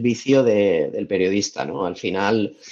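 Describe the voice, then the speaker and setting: A man talks with ordinary pitch variation. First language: Valencian (speaking Spanish). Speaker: travel content creator. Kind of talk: podcast interview. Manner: hesitant, many repetitions.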